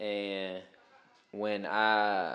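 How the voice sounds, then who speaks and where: With an American accent, a man talks at a fairly low pitch. The background is quiet. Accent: sounds country (self-remark). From Richmond, Virginia, US South. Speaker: former teacher. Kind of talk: casual podcast chat, storytelling.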